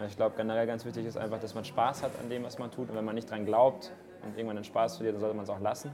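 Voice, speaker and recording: Noticeable background noise and audible room echo surround this man's voice. He speaks very fast, his intonation fairly even. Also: medium pitch for a man. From Munich, Bavaria. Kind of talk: interview. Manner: casual.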